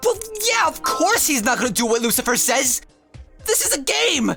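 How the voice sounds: A woman performs a cartoonish character voice, high-pitched, with a bright, sharp tone and big pitch swings. Her pace is moderate, and faint music plays in the background.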